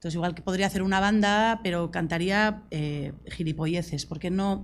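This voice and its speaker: A woman with a Basque accent and ordinary pitch variation, on a very clean recording with a silent background. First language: Basque (speaking Spanish). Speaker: singer-songwriter. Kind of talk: panel discussion. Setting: university talk with audience.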